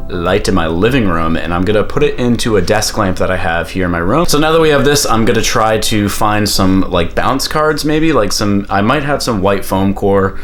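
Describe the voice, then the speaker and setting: The speech is animated, with lively intonation, very even loudness and hardly any pauses, heard with audible room echo and noticeable background noise. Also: man. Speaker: photographer and YouTuber. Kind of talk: tutorial. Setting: at home. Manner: casual, animated; fast.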